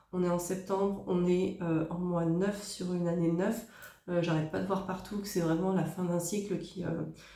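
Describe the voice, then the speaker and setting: A woman talks at a moderate pace in a fairly low pitch, her intonation flat and monotone. Room echo is audible, and background noise is noticeable. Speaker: tarot card reader. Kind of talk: tarot reading. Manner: hesitant, many fillers.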